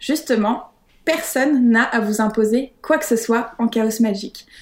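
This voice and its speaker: Using a plain, everyday voice, a woman speaks at a moderate pace with a fairly high pitch and ordinary pitch variation. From France, Paris. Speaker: witch, author of practice planners. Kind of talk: interview.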